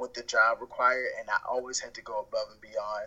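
A man speaks at a moderate pace with an American accent. Noticeable background noise runs behind him. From Baltimore, Maryland, US East Coast. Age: 20s. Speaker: freelancer, cook. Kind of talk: casual chat. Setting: phone call.

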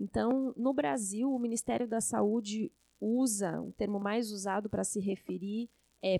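With a dark, mellow tone and ordinary pitch variation, a woman speaks at a fairly high pitch in a dry, close sound with no echo. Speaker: infectious disease doctor and professor. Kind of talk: podcast interview.

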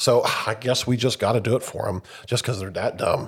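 The speaker is a man with a somewhat breathy voice. His pace is moderate. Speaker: podcast host. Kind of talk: casual chat.

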